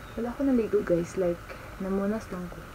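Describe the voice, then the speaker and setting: A soft-spoken woman talks in a room with audible echo and noticeable background noise. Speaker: travel vlogger. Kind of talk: casual vlog talk. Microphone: no external mic, voice quiet.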